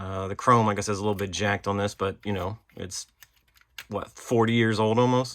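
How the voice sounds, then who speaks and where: A man's fairly low voice at a moderate pace, flat and monotone in intonation. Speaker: toy collector and unboxing video host. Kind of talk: casual unboxing show-and-tell. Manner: casual, filler-heavy (um, uh).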